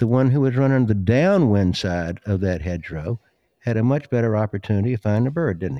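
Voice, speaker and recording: A man's fairly low, dark, mellow voice with a Southern US accent, fairly quick pace and lively intonation, in a dry, close sound with no echo against a quiet background. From US South, South Carolina. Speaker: dog trainer and breeder. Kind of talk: casual interview chat.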